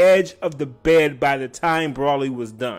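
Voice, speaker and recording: The voice is loud, with an animated tone. It moves at a fairly slow pace. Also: man. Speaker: anime reviewer. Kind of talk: casual video review.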